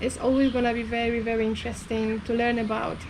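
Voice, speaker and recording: A woman with a high pitch speaks at a fairly quick pace. Audible room echo and noticeable background noise fill the recording. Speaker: vlogger. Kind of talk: casual chat.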